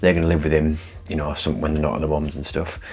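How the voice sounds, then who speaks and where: With a northern English accent, a man speaks at a very deep, low pitch amid audible room echo and noticeable background noise. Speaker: vlogger. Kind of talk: casual vlog talk. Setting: inside a parked van. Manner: soft-spoken.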